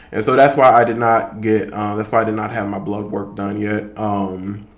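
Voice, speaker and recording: A man's fairly low voice at a moderate pace, flat and monotone, with audible room echo. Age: 30s. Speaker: fitness vlogger. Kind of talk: casual vlog monologue. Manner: hesitant, many fillers.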